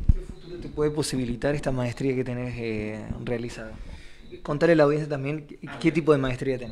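Against light background noise, a man talks at a fairly quick pace with ordinary pitch variation and big swings in loudness. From Argentina. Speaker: radio interviewer. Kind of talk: radio interview. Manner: halting. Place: office.

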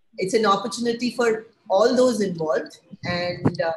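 Fairly high-pitched and somewhat breathy, a woman's voice with ordinary pitch variation. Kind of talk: webinar presentation. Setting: online webinar.

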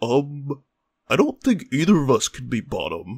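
A cartoonish character voice at a low-to-middle pitch talks at a fairly slow pace. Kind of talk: comedic short cartoon dialogue.

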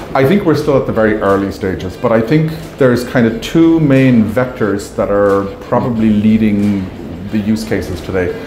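There is audible room echo and light background noise as a man speaks at a moderate pace. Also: ordinary pitch variation. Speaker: company marketing executive. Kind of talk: interview answer. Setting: trade show booth. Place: hall. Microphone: lapel.

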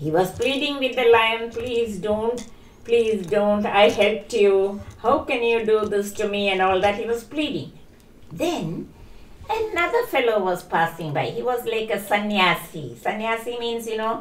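In a room with audible echo, a woman speaks at a fairly slow pace with ordinary pitch variation. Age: 80s+. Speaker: storytelling grandmother; grandmother storyteller. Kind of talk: storytelling. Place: home room. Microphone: poor audio, wrong mic settings.

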